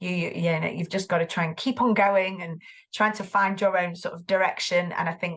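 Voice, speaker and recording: A woman talks with a Mancunian accent at a fairly quick pace. Her pitch is fairly low and her intonation fairly even. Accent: Greater Manchester. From Greater Manchester, northern England. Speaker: tutor and former English teacher. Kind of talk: podcast interview. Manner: hesitant, many fillers and repeats.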